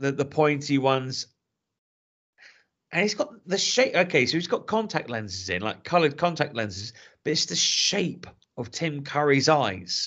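Speaking at a moderate pace with an English accent, a man with a fairly high, fry-edged voice makes very wide pitch swings and leaves long, frequent pauses. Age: 30s. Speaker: podcast host. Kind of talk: casual chat. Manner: animated.

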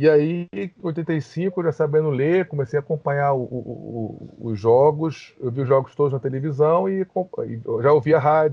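This man has an unremarkable speaking voice, pitched fairly high with ordinary variation. He goes at a fairly slow pace, with hardly any pauses. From Rio de Janeiro, Brazil. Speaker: lawyer. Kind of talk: podcast interview.

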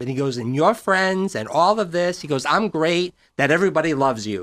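In a very clean recording with a silent background and a dry, close sound with no echo, an unremarkable speaking voice moves at a moderate pace with lively intonation. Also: man. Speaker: psychic radio personality. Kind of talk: casual radio chat. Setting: studio.

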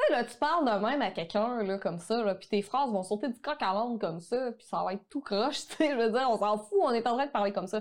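A woman's fairly high voice at a fairly quick pace, with ordinary pitch variation and a plain, everyday voice. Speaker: online photography course entrepreneur. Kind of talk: casual interview conversation.

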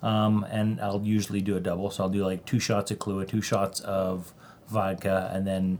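The man's pitch is fairly low and his intonation monotone and flat. He keeps a moderate pace. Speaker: podcast guest. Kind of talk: casual chat.

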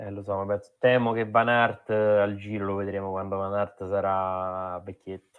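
A man speaks at a fairly slow pace in a monotone, flat intonation. His loudness shows big swings. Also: fairly low pitch for a man. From Rome, Italy. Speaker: cycling podcast host. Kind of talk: casual chat.

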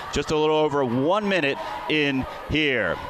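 A man's voice over noticeable background noise. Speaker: radio play-by-play broadcaster. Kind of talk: live commentary. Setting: gymnasium, courtside at mid-court with crowd and band.

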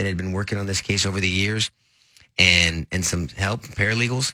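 Bright and sharp in tone, a voice with an American accent rushes along at a very fast pace on a very clean recording with a silent background. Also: man. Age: 40s. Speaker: radio host and lawyer, former district attorney. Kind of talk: casual radio talk.

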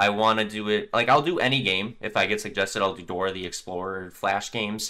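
Using an ordinary speaking voice, a man talks fairly quickly at a fairly low pitch with ordinary pitch variation. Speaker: gaming YouTuber and clan manager. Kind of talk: casual chat.

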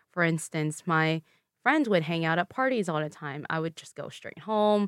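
A woman's very deep, low voice with a Vietnamese accent, at a moderate pace with ordinary pitch variation, dry and close with no echo, on a very clean recording with a silent background. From Louisville, Kentucky, US. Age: 20s. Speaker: guest, former pageant queen and public health graduate. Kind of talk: casual interview chat. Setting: studio.

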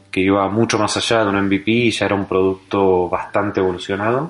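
With a Rioplatense accent, a man talks at a fairly quick pace, his fairly low pitch held in fairly even intonation. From Argentina. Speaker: startup founder. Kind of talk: interview.

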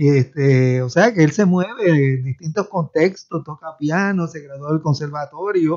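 His pitch varies in an ordinary way. The speaker is a man. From Puerto Rico. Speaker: professor. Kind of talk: radio panel discussion.

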